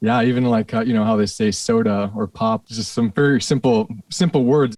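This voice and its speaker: With an American accent, a man speaks at a moderate pace and a medium pitch, showing ordinary pitch variation. The sound is dry and close with no echo, against a quiet background. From Minnesota, Saint Paul area. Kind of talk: casual interview chat.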